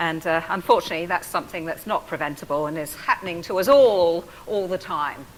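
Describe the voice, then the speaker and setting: Speaking with hardly any pauses, a woman with an English accent uses a fairly low pitch and ordinary pitch variation over noticeable background noise. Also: fairly quick pace. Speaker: professor and physiotherapist. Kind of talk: public talk.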